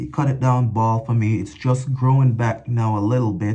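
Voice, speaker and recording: A man talks with ordinary pitch variation at a moderate pace, with light background noise behind him. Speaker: product reviewer. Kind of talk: casual vlog chat. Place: bathroom. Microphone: phone near.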